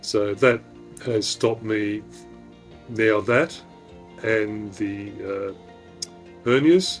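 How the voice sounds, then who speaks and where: A man with an Australian accent talks very slowly in a fairly low voice, pausing often and at length. His pitch varies in an ordinary way, and music plays in the background. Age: 50s. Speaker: retired deep sea diver, cancer patient. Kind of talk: interview answer.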